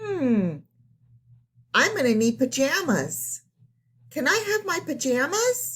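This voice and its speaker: A woman uses a put-on character voice pitched high, speaking fairly slowly with long, frequent pauses at a very even loudness. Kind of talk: bedtime story. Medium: read story. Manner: polite, musing.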